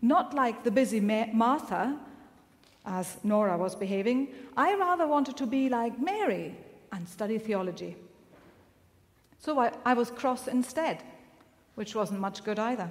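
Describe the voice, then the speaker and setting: Long, frequent pauses at a moderate pace. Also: woman. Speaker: minister preaching. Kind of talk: sermon. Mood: calm, reflective storytelling. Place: church.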